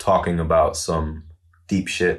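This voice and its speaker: Speaking at a very slow pace, a man delivers his words. His intonation is monotone and flat. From Germany, Wiesbaden. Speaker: rapper. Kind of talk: interview conversation. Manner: mixes German with English phrases.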